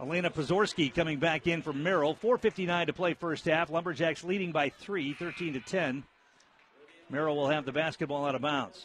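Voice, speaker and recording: A man with a fairly high pitch and ordinary pitch variation speaks in an unremarkable speaking voice. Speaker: radio sports play-by-play announcer. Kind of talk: live play-by-play radio commentary of a high school girls basketball game. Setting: courtside gym broadcast on local radio.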